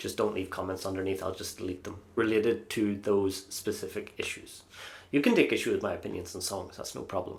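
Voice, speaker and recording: Speaking at a moderate pace, a man talks in an Irish accent. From Ireland. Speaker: Eurovision YouTuber. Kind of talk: casual vlog review. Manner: hesitant, many fillers.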